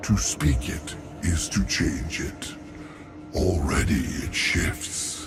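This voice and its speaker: A man speaks in a put-on character voice at a very slow pace, with long, frequent pauses and clear background noise. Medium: machinima. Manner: grave, archaic phrasing.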